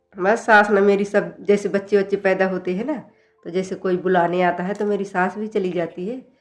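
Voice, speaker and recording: At medium pitch, a woman talks at a moderate pace with monotone, flat intonation. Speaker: house help. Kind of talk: interview answer. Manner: relaxed, confident.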